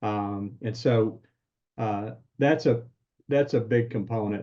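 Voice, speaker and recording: A dark, mellow tone comes through in this somewhat breathy voice. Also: man. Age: 60s. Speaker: business coach. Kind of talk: interview.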